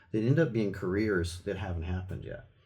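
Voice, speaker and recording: Over audible room echo, a somewhat breathy man talks at a very fast pace with ordinary pitch variation. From grew up in Thailand, Germany and the US. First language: not English. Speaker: art professor and musician. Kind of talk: casual interview chat.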